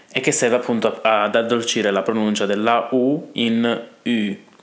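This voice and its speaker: A man at medium pitch with fairly even intonation, against noticeable background noise. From Italy. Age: 20s. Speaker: language teacher. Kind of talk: tutorial. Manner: halting.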